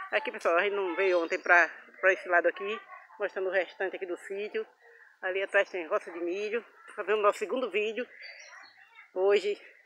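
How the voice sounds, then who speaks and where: The speech moves at a fairly quick pace with a dry sound with no echo and light background noise. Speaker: vlogger showing a family farm. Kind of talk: casual vlog chat. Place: farm. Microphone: phone near.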